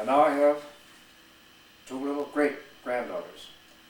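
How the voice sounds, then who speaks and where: With an American accent, a man talks at a fairly slow pace amid noticeable background noise and audible room echo. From Wisconsin, US Midwest. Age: 70s. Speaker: retired Marine veteran. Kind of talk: personal life story monologue. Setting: at home. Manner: slow, reflective with pauses.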